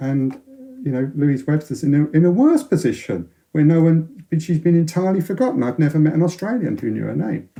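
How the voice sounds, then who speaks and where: At a moderate pace, a man speaks at a fairly high pitch with a dark, mellow tone and ordinary pitch variation. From North London, England. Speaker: science author, former radio astronomer. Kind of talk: interview. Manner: halting, many repetitions and false starts.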